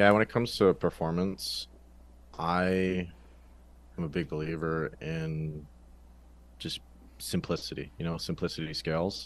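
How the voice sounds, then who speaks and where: Speaking with a Canadian accent, a man has a very deep, low pitch and fairly even intonation. His pace is fairly slow, with long, frequent pauses over a quiet background. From western Canada, British Columbia. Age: 20s. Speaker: ghostwriter. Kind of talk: interview. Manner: casual.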